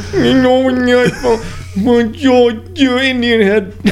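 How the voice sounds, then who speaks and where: This put-on character voice mumbles at a fairly high pitch and a fairly slow pace. Clear background noise can be heard. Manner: garbled, slurred.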